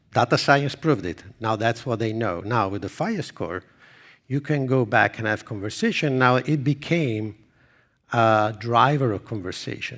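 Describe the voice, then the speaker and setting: With an Italian accent, a man at medium pitch speaks with lively intonation on a very clean recording with a silent background. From Italy. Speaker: marketing executive. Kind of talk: conference presentation; audience Q&A. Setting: stage with audience.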